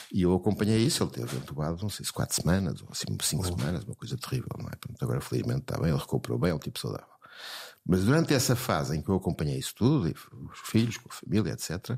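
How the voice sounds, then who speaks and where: Very fast and very deep, a man's voice shows vocal fry and very wide pitch swings. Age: 70s. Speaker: psychiatrist. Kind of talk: interview. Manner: halting, repeats words.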